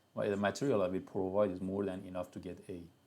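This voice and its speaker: A man's dark, mellow tone. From Iran, Tehran. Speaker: university lecturer. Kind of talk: live online lecture. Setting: YouTube live stream.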